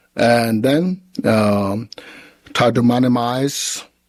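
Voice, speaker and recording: A man at medium pitch with a Tibetan accent. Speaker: Buddhist teacher. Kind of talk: question and answer after a dharma teaching. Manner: halting.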